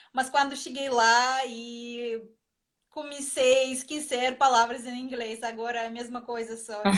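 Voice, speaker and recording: High-pitched woman's voice with a Russian accent. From Russia, Moscow area. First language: Russian (speaking Portuguese). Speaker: ballroom dancer and teacher. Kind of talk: interview on a live stream. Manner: halting, searching for words.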